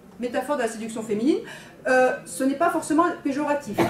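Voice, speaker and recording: A woman speaks at a high pitch, with audible room echo and light background noise. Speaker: lecturer on medieval texts. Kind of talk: lecture. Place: classroom. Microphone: camera far.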